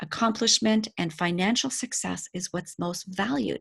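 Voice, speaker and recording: A woman's medium-pitched voice with vocal fry, dry and close with no echo, over a quiet background. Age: 50s. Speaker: life coach. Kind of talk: casual chat. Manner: animated.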